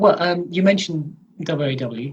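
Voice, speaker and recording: Somewhat breathy, a man talks very slowly. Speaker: comedian and wrestling commentator. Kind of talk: interview answer.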